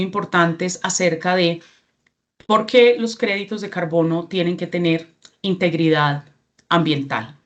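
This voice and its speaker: A woman with a Colombian accent at a fairly slow pace, medium pitch and ordinary pitch variation. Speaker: regional representative of a certification NGO. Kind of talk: training presentation.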